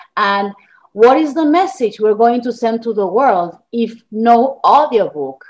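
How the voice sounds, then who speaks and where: A fairly slow, lively intonation in an Argentine accent. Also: woman. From Argentina. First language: Spanish. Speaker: journalist and author. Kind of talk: interview.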